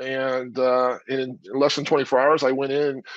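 A man with an American accent speaks at a fairly high pitch. The sound is dry with no echo, over a quiet background. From US West Coast. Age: 50s. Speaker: former football player turned actor. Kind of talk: casual interview. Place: home room. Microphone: earbuds.

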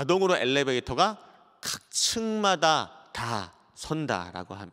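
The background stays quiet while a man talks at a fairly high pitch. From South Korea. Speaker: pastor. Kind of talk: lecture. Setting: church broadcast, online. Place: church. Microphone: handheld.

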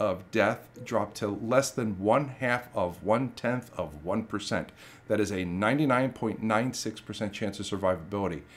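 A man with lively intonation at a moderate pace. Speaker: history channel host. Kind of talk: documentary narration to camera.

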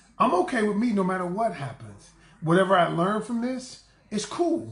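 The voice is loud and animated in tone, at a moderate pace. Audible room echo fills the recording. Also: man. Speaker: relationship coach. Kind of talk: live-stream talk to viewers. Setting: livestream. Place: home room. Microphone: phone near.

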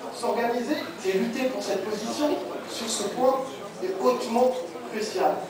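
The voice moves at a fairly slow pace with long, frequent pauses. Strong room echo and noticeable background noise fill the recording. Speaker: performer reciting a monologue. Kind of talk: spoken-word monologue, declamatory political manifesto. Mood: earnest political declamation. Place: hall.

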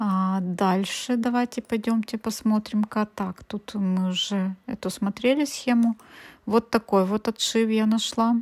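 In a very clean recording with a silent background and a dry, close sound with no echo, a woman speaks very slowly in a fairly high, somewhat breathy voice with fairly even intonation. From Ukraine. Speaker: cross-stitch embroidery blogger. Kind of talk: casual video review. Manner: chatty, thinking aloud.

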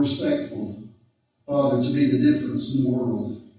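Strong room echo surrounds a man speaking against a quiet background. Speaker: guest. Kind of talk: prayer. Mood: solemn, earnest. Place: meeting room.

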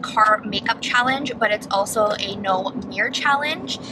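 A woman's voice amid noticeable background noise. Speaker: beauty vlogger. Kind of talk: casual vlog chat. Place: car.

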